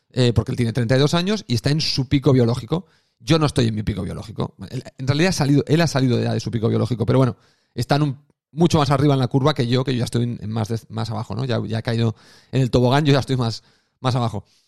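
Vocal fry runs through this man's speech. He talks at a very fast pace in a dry, close sound with no echo. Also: medium pitch for a man, ordinary pitch variation. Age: 40s. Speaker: podcast host. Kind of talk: solo monologue podcast. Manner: casual, conversational with fillers.

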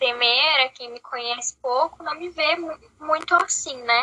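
Speaking very slowly, a woman shows ordinary pitch variation. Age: 20s. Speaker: podcast co-host. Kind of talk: casual chat.

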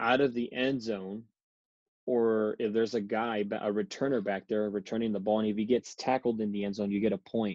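A man with an American accent, medium-pitched and monotone with flat intonation, at a moderate pace. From US South, Rio Grande Valley, Texas. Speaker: professional football kicker. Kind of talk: interview.

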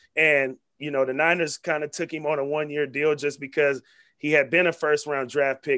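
A man with an American accent and a fairly high pitch speaks in a monotone, flat intonation. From Vallejo, California (Bay Area). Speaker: sports broadcaster and activist. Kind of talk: casual interview.

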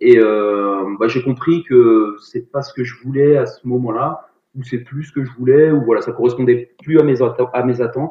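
Loudness rises and falls in big swings at a fairly slow pace. The intonation remains fairly even. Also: man, medium pitch for a man. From Paris region and Rennes area, Brittany. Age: 40s. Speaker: sports teacher and CrossFit athlete. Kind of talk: casual interview. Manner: halting, many fillers.

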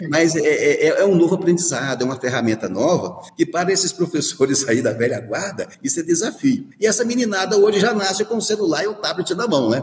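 A man with a Minas Gerais accent, high in pitch, fairly quick, with very wide pitch swings, over noticeable background noise. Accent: Brazilian Portuguese, Minas Gerais (mineiro). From Minas Gerais, near Diamantina (rural Rio Vermelho). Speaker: university rector, dentist and professor. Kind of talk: radio interview. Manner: hesitant, many fillers.

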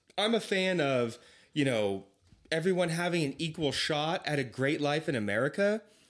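The recording is very clean with a silent background. The speaker goes at a moderate pace with very even loudness and lively intonation. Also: man, fairly high pitch for a man. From California, Lodi area. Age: 20s. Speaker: podcast guest, travels for work. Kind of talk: casual chat.

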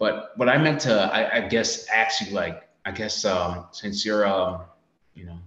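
The speaker has an American accent and lively intonation at a moderate pace. Audible room echo surrounds the voice. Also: man. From United States. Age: 20s. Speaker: Navy sailor and social media creator. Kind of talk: casual chat.

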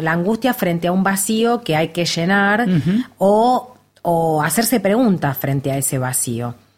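A woman's fairly low voice with lively intonation and a Rioplatense accent. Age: 50s. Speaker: actress. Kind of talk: casual chat.

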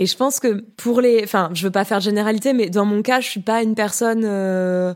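Using a normal speaking voice, a woman talks at a moderate pace with a medium pitch and fairly even intonation. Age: 30s. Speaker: podcaster and art historian. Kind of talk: casual interview.

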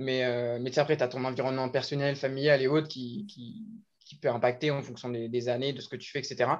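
A man with a normal speaking voice, medium pitch, ordinary pitch variation, a fairly quick pace and big swings in loudness. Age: 20s. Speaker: fitness coach. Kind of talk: casual chat.

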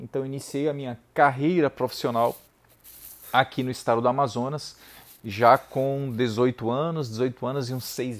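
A man with an unremarkable speaking voice talks at a fairly slow pace, medium in pitch and fairly even in intonation. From Brazil, Ceará interior (Saboeiro). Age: 30s. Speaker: lawyer and teacher. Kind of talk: motivational talk.

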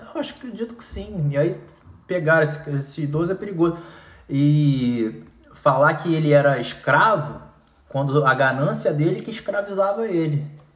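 A man's fairly high voice at a moderate pace, with ordinary pitch variation and audible room echo. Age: 40s. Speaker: news commentator. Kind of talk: casual chat.

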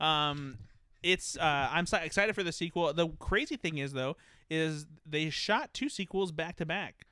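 Recorded very cleanly against a silent background, a man with an ordinary speaking voice talks at a moderate pace and fairly high pitch, with ordinary pitch variation. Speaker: podcast co-host. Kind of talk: casual chat.

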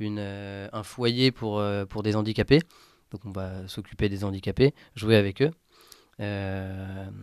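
On a very clean recording with a silent background, a man speaks very slowly with long, frequent pauses, fairly even intonation and big swings in loudness. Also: fairly low pitch for a man. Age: 20s. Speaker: former volunteer, communications student. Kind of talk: testimony. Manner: halting, many hesitations.

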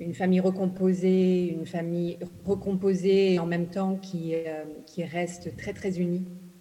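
A woman talks at a fairly slow pace and a medium pitch, her intonation monotone and flat. Noticeable background noise and an audible room echo come through. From Ghana, English-speaking; moved to France at 11. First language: English (speaking French). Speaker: novelist. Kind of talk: literary panel talk. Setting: stage with audience.

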